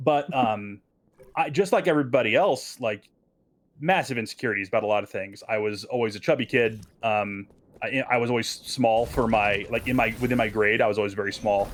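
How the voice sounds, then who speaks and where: At a medium pitch, the man's voice shows ordinary pitch variation. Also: fairly quick pace. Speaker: streamer. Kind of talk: casual chat. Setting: live stream. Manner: loud.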